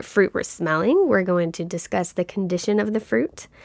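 In a very clean recording with a silent background, a woman with a Kentucky accent speaks at a moderate pace and medium pitch. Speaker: wine podcast co-host. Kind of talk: casual chat. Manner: animated.

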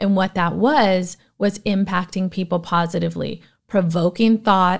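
In a plain, everyday voice, a woman speaks at a medium pitch with fairly even intonation on a very clean recording with a silent background. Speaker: podcast host. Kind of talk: solo monologue, personal talk. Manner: conversational, motivational.

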